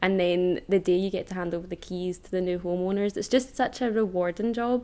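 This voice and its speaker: Against noticeable background noise, a woman with a Lanarkshire accent speaks at a fairly quick pace, her medium-pitched voice holding a fairly even intonation. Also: big swings in loudness. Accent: Scottish (Lanarkshire). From Scotland, Hamilton (South Lanarkshire). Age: 20s. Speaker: estate agent. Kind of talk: podcast interview.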